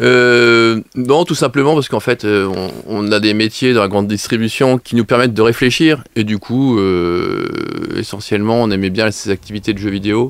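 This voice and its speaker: At a moderate pace, a man uses an ordinary speaking voice, his pitch medium and varying in an ordinary way. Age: 40s. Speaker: leisure business co-owner. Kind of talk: radio interview.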